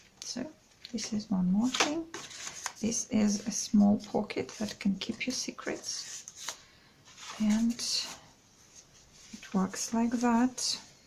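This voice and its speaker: A quiet woman's voice, fairly high in pitch, at a very slow pace with fairly even intonation, over noticeable background noise. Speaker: craft video creator. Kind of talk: product flip-through tutorial. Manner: halting.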